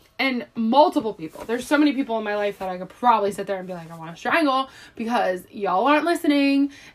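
A woman with an American accent talks at a very fast pace with hardly any pauses. Her fairly high voice makes very wide pitch swings and big swings in loudness. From Philadelphia, US. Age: 20s. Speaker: podcast co-host. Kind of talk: casual chat.

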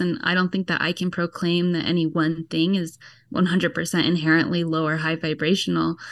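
A woman with an American accent and a fairly low pitch, an unremarkable speaking voice at a fairly quick pace against a quiet background. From US, Georgia. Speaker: online spiritual community leader. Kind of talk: interview.

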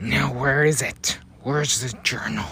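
In a put-on character voice, a man with a medium pitch sounds raspy and growling, speaking at a moderate pace with ordinary pitch variation over clear background noise. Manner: menacing, demanding.

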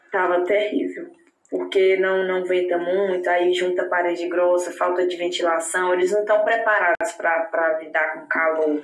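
The speech moves at a fairly slow pace with fairly even intonation, and the room echo is audible. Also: woman. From Brazil, Palmas, Tocantins. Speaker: Brazilian expat interviewee. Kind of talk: casual interview.

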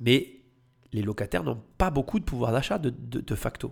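An animated man's voice at a medium pitch, fairly slow, with vocal fry and very wide pitch swings. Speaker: real estate podcaster and coach. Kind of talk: commentary on a TV report.

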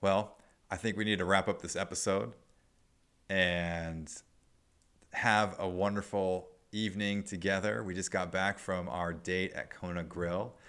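On a very clean recording with a silent background, a man with an American accent speaks at a fairly slow pace. His pitch is very deep and low, and his intonation fairly even. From Nebraska, US Midwest. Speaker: podcast host. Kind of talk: casual chat.

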